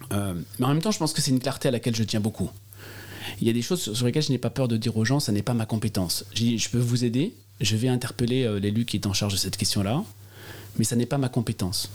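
A man talks at a very fast pace, with long, frequent pauses. His loudness stays very even and his pitch varies in an ordinary way. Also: medium pitch for a man. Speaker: politician. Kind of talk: interview. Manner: halting, many repetitions and hesitations.

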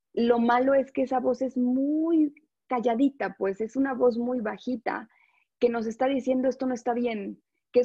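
A woman with a Mexico City accent speaks in a fairly high voice. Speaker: life coach. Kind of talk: interview.

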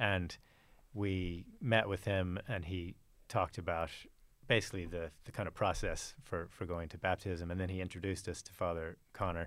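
Very deep and low, this man's voice keeps fairly even intonation at a moderate pace. Behind it the background is silent, and the recording is very clean. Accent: American. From Texas, Fort Worth. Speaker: churchgoer sharing conversion story. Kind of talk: testimony.

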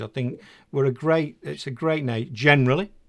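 On a very clean recording with a silent background, a man talks at a fairly quick pace. He has an English accent and a medium pitch. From England. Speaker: podcast host. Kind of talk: interview. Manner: enthusiastic.

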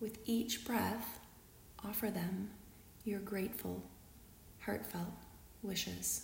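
In a gentle, warm tone, the speaker goes at a very slow pace with long, frequent pauses over noticeable background noise. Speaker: guided meditation leader. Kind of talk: guided meditation, read aloud from a script. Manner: slow, calm and soothing, with long pauses between phrases; gentle, warm and unhurried, reading in a measured way.

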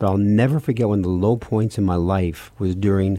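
This man has a dark, mellow tone and a fairly low pitch, with an American accent. His pitch varies in an ordinary way and his pace is moderate. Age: 70s. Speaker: priest and radio host. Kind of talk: casual radio talk show chat. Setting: studio.

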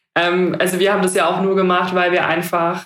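Amid audible room echo, a woman with a fairly low pitch talks at a fairly quick pace in a monotone, flat intonation. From Heidelberg, southwestern Germany. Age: 20s. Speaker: startup founder. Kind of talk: podcast interview. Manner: hesitant, many fillers.

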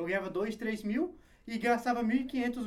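This is a male voice. The pitch rises and falls in an ordinary way. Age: 20s. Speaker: online personal trainer. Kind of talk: casual interview chat.

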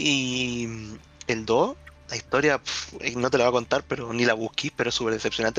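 The speaker has a Chilean accent. The pace is fairly quick. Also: man. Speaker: podcast host. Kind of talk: casual chat.

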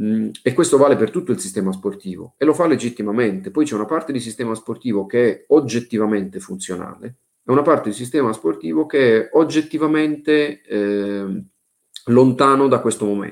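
Lively intonation from a man at medium pitch. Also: fairly quick pace. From southern Italy, Bari (Apulia). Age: 40s. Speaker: sports management executive. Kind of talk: interview. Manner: hesitant, many fillers.

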